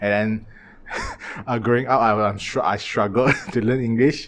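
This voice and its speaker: Amid noticeable background noise, a man with a fairly low pitch talks at a moderate pace. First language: Chinese (Mandarin and Cantonese). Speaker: podcast host. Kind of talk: casual chat. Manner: halting.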